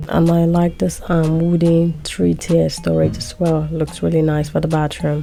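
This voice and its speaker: With music playing behind her, a woman speaks at a moderate speed. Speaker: shopping vlogger. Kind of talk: store walkthrough vlog narration. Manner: casual, hesitant with frequent 'um'.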